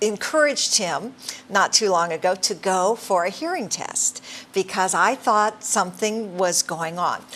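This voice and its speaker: A woman with a plain, everyday voice and medium pitch speaks at a fairly slow pace. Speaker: talk show host. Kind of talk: interview on a talk program.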